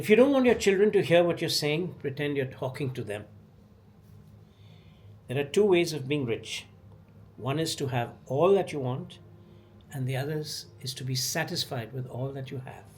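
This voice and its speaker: The delivery moves at a moderate pace and is somewhat breathy. Long pauses come often. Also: man, fairly high pitch for a man, ordinary pitch variation. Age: 70s. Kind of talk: poetry reading.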